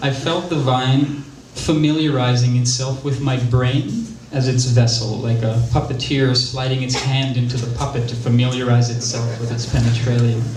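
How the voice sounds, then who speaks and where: Noticeable background noise is heard as a man talks at a moderate pace. His medium-pitched voice stays monotone and flat. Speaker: spoken word performer. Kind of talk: theatrical spoken-word monologue about a personal story. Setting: live theater stage.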